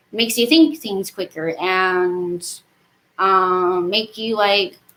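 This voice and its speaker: A woman's medium-pitched voice, bright and sharp in tone, at a very slow pace. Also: ordinary pitch variation. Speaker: gaming vlogger. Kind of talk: casual monologue. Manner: rambling with fillers.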